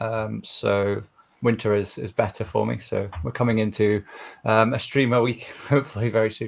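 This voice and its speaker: A man with vocal fry speaks at a medium pitch and a moderate pace, his intonation fairly even. The recording is very clean, with a silent background. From Scotland. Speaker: streamer and contestant. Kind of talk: self-introduction.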